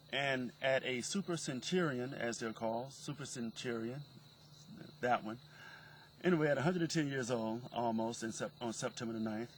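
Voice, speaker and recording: Medium pitch from a man, moderate pace, ordinary pitch variation, and an unremarkable speaking voice. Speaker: interviewer. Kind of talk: casual talk to camera.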